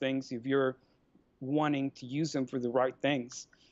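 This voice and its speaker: Moderate pace and fairly even intonation. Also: man. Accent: Mexican. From Mexico. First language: Spanish. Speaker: life coach and free market advocate. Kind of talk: podcast interview.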